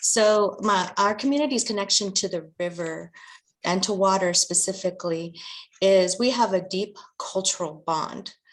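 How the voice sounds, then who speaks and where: Over a quiet background, a woman speaks in a normal speaking voice with an American accent. Her pitch is medium, with ordinary pitch variation, at a moderate pace. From Arizona, Verde Valley. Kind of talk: panel discussion.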